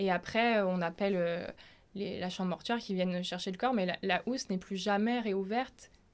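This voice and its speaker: Recorded very cleanly with a silent background, a woman talks at a medium pitch with fairly even intonation. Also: moderate pace. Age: 20s. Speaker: nurse. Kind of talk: testimony. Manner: halting, with frequent fillers.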